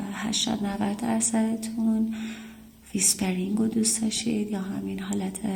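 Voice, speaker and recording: The voice belongs to a woman. Noticeable background noise can be heard behind her. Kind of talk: casual talk to camera, apology and thanks to subscribers.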